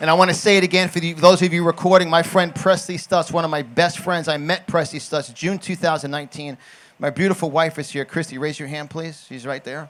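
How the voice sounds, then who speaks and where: Talking at a fairly quick pace with hardly any pauses, a man with a New York accent uses a high pitch and big swings in loudness. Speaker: conservative political commentator and motivational speaker. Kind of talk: political rally speech. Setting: stage with audience. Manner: animated.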